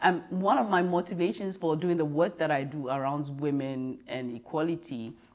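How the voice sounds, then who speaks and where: At a moderate pace, a woman with a Ghanaian accent speaks in a very deep, low pitch with lively intonation. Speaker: business leader, diversity and inclusion consultant. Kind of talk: interview. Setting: in person.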